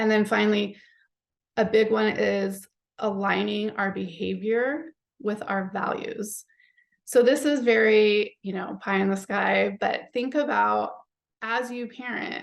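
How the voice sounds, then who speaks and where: A woman talks in a normal speaking voice with a fairly high pitch. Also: ordinary pitch variation, fairly slow pace. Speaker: psychologist and parenting author. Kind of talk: webinar presentation.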